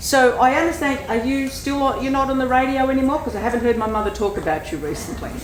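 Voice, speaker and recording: Loud and at a very fast pace with hardly any pauses, a woman speaks at a high pitch amid noticeable background noise and audible room echo. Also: ordinary pitch variation. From Australia, Greek family. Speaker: audience member. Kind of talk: audience question.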